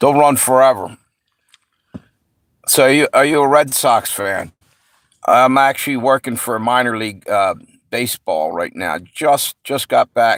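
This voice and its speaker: Speaking at a fairly slow pace with long, frequent pauses, the voice carries ordinary pitch variation and a slight New York accent. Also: man. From US Mid-Atlantic (Pennsylvania/Delaware area). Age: 60s. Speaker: livestream host. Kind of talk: casual chat. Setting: live stream.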